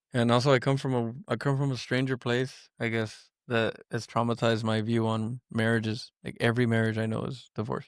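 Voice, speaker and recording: A man mumbles in a flat monotone at a medium pitch, fairly quickly and with hardly any pauses. The recording is very clean, with a silent background. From Miami, Florida. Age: 30s. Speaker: manufacturing controls engineer. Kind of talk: casual chat. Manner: mumbling.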